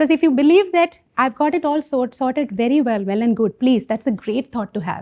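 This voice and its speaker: Lively intonation marks this woman's speech, delivered at a moderate pace. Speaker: leadership coach and keynote speaker. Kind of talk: keynote talk.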